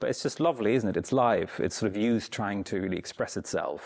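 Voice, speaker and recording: A man is speaking. He has a German accent. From Germany, East Berlin. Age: 30s. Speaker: Buddhist teacher. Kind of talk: dharma talk. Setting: meditation center with audience. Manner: casual, hesitant.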